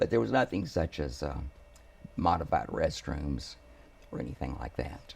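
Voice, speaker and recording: Pausing long and often, a man with a very deep, low pitch and an American accent talks at a moderate pace with ordinary pitch variation. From Houston, Texas. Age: 70s. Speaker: family attorney. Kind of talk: interview.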